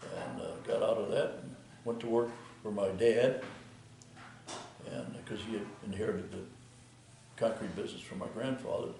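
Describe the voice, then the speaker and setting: A man with an American accent speaks at a moderate pace with long, frequent pauses and big swings in loudness. Noticeable background noise and audible room echo are present. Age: 80s+. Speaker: retired concrete contractor. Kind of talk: interview. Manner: halting, many fillers.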